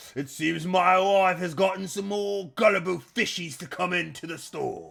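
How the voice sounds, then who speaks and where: A put-on character voice at a moderate pace, in a very clean recording with a silent background. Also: man, high pitch for a man. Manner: smug, gloating.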